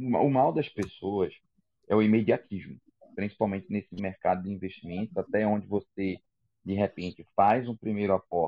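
A man's fairly low-pitched voice at a moderate pace, with ordinary pitch variation and an ordinary speaking voice. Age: 30s. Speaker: podcast host, sales representative. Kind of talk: casual chat.

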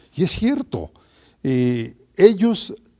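A man's somewhat breathy voice, dark and mellow in tone, moves through very wide pitch swings on a very clean recording with a silent background. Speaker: historian. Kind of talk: interview.

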